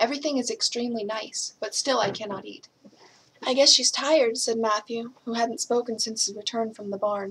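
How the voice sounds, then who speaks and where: A woman with an American accent has a plain, everyday voice. She talks at a fairly quick pace in a fairly high pitch. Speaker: English teacher reading aloud. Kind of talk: audiobook reading of a classic novel.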